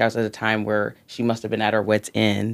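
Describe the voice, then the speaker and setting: The speech comes at a very fast pace. The recording is very clean, with a silent background. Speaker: guest. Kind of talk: casual interview conversation.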